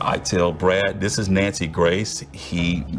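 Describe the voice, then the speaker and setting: Over music in the background, a man with an American accent speaks at a very deep, low pitch. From American, Memphis, Tennessee. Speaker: TV news reporter and anchor. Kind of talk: storytelling narration of an investigative story.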